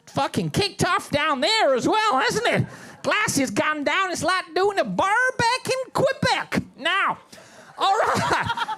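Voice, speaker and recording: A man speaks very slowly in a raised, projected voice, his pitch extremely high and swinging very widely. His loudness stays very even, with noticeable background noise behind him. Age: 70s. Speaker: stand-up comedian. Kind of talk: stand-up. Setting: stage with audience. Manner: animated.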